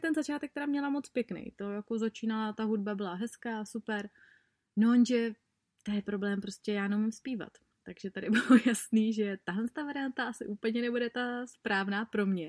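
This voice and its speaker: A woman's fairly high voice, with ordinary pitch variation, comes through a very clean recording against a silent background. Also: dry, close sound with no echo. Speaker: podcast host and blogger. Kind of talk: casual monologue. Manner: fast; animated.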